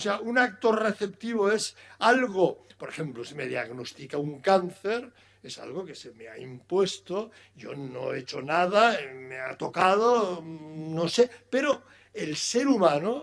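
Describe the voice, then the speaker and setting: Pitched high, a man speaks at a very slow pace with very wide pitch swings and big swings in loudness. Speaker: philosophy lecturer. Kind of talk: lecture.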